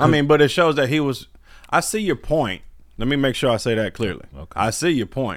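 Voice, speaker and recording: Speaking at a fairly quick pace, a man with a fairly high pitch shows lively intonation and vocal fry in a very clean recording with a silent background. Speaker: podcast co-host. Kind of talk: casual chat. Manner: sarcastic-sounding.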